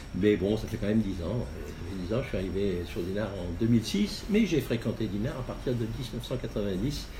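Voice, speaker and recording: Speaking at a moderate pace, a man keeps a fairly low pitch with ordinary pitch variation. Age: 60s. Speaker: local election candidate. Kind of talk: interview. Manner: halting, many hesitations.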